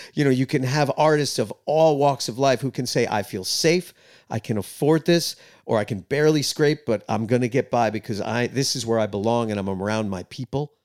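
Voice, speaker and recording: Speaking at a fairly quick pace with a New York accent, a man of medium pitch uses ordinary pitch variation, his voice dry and close with no echo on a very clean recording with a silent background. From New York, Queens. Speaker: rock musician. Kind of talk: casual interview chat. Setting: studio.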